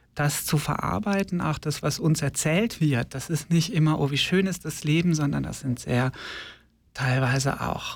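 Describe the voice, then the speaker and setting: A somewhat breathy man speaks with ordinary pitch variation. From Germany, Ostwestfalen-Lippe (North Rhine-Westphalia). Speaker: drag nun / queer activist. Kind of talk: radio interview. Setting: studio.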